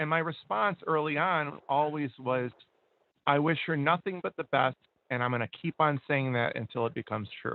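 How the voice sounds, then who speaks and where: Fairly high in pitch with ordinary pitch variation, a man speaks in an ordinary speaking voice. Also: moderate pace. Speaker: radio co-host. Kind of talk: casual chat.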